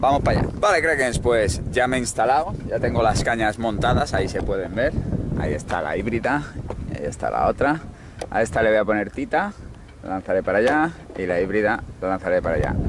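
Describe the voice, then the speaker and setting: Noticeable background noise accompanies a man's speech. The sound is dry with no echo. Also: lively intonation. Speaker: fishing vlogger. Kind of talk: casual vlog chat. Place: waterside. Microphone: phone near.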